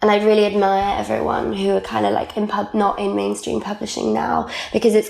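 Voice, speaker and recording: A woman with a South Wales accent, at a moderate pace. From Wales, Caerphilly. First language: Welsh. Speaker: magazine editor and writer. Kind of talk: casual interview chat. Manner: animated.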